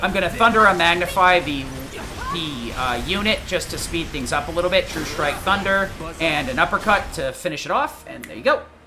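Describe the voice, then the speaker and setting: Speech moves at a fairly quick pace. Music plays in the background. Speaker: gaming streamer. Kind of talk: tutorial. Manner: fast; many fillers like um and uh.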